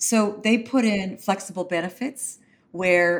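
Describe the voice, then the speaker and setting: Recorded very cleanly against a silent background, a plain, everyday voice speaks with ordinary pitch variation. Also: woman. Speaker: consulting firm managing director. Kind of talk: interview.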